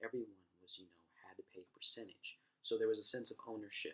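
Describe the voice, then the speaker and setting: A man is speaking. He is soft-spoken. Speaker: university student. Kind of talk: class presentation.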